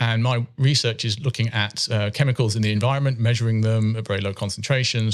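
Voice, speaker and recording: A man with a British accent speaks very fast in a monotone, flat delivery on a very clean recording with a silent background. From UK. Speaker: chemistry professor. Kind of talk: interview. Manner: hesitant, with many fillers.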